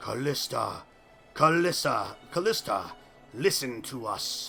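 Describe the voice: Over clear music in the background, a man uses a put-on character voice, high in pitch, at a fairly slow pace.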